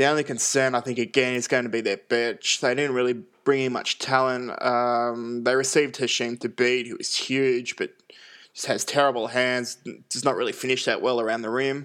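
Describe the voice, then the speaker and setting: A man with an Australian accent, medium-pitched and monotone with flat intonation, at a moderate pace over a very clean, silent background. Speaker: basketball podcast host. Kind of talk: solo sports analysis. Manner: frequent fillers (uh, um).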